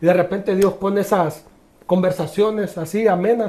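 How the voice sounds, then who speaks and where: A man's high-pitched voice, fairly even in intonation, at a moderate pace. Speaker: former footballer. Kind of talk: testimony. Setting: podcast interview.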